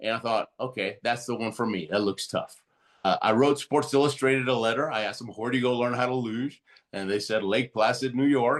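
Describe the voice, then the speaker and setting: At a fairly quick pace, a man with a Spanish accent speaks at medium pitch with fairly even intonation. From Argentina. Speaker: Olympic athlete and motivational speaker. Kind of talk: interview storytelling.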